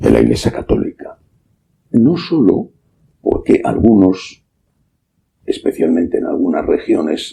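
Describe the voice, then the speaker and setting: Speaking at a fairly slow pace, a man keeps his loudness very even and leaves long, frequent pauses. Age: 60s. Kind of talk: sermon.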